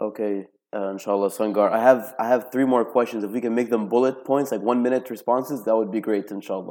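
Speaking at a very fast pace with hardly any pauses, a man with a medium-pitched, dark, mellow voice keeps a fairly even intonation. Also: very clean recording, silent background. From Lebanon, Tripoli. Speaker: podcast host. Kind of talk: interview. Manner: hesitant, many fillers.

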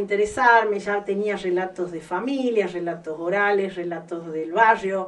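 Noticeable background noise accompanies a woman with a medium pitch speaking at a fairly slow pace. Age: 50s. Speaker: visual artist. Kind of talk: interview.

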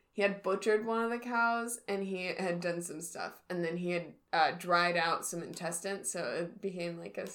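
A natural reading voice and its ordinary rise and fall in pitch

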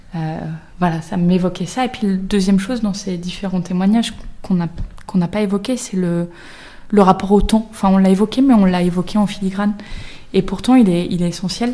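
Amid noticeable background noise, a woman at medium pitch speaks with fairly even intonation. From Brittany, France. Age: 30s. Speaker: career coach. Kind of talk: panel discussion.

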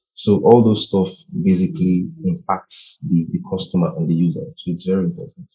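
A man's fairly low voice with very wide pitch swings, big jumps in loudness, a somewhat breathy quality and a dark, mellow tone. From Nigeria. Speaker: brand designer. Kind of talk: interview conversation. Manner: halting, with many fillers.

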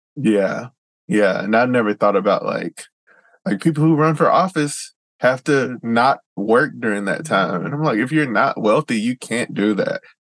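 Moderate pace and lively intonation from a man with a Southern US accent at a medium pitch, in a dry, close sound with no echo. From US South. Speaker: podcast host. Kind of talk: interview.

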